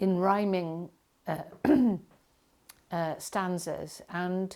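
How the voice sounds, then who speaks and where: Heard in a very clean recording with a silent background, a woman with a Welsh accent speaks at a very slow pace. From Wales. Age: 60s. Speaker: poet. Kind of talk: interview. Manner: hesitant, many fillers.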